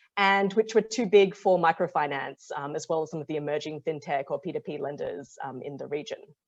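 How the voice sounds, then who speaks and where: A woman speaks in a very deep, low pitch with an Australian accent and ordinary pitch variation. Her fairly quick delivery has hardly any pauses and big swings in loudness over a quiet background. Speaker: impact investor, fund partner. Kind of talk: webinar presentation. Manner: many filler ums.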